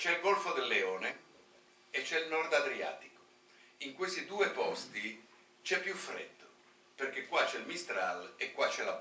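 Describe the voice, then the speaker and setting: Man at a fairly slow pace with long, frequent pauses, audible room echo and light background noise. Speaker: marine biology professor. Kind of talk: conference talk. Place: hall. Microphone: podium.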